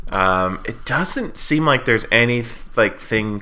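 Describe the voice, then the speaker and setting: In an American accent, a man speaks with a bright, sharp tone at a medium pitch. His intonation is lively. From Washington State. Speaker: movie podcast co-host. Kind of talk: casual chat.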